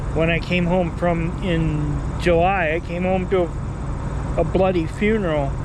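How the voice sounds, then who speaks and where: The speech moves at a fairly slow pace with hardly any pauses. Noticeable background noise runs underneath. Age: 60s. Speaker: travel vlogger. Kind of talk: casual vlog monologue. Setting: outdoors near traffic. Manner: halting.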